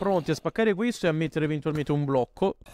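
A man speaks in an animated tone with lively intonation. The sound is dry and close, with no echo. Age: 20s. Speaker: gaming YouTuber. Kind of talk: gameplay commentary.

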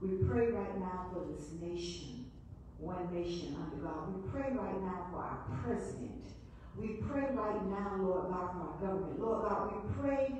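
Strong room echo and light background noise surround a woman who speaks at a fairly slow pace. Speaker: Sunday school teacher. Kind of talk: spoken prayer. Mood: earnest, fervent. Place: church. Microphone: camera far.

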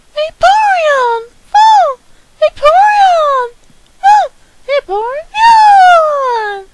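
Putting on a cartoonish character voice, a woman speaks at an extremely high pitch and a very slow pace, with long, frequent pauses. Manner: short repeated exclamations.

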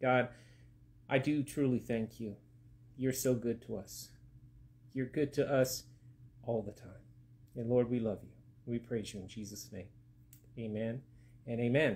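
This man speaks at a moderate pace in a somewhat breathy voice with fairly even intonation and long, frequent pauses. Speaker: pastor. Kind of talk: prayer and sermon. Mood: calm, reverent. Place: home room. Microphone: phone near.

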